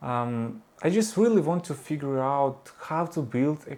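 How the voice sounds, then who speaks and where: A man speaks with a Ukrainian accent. His pitch sits fairly high. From Ukraine. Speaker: vlogger and 3D artist. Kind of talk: personal vlog monologue. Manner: halting, many fillers.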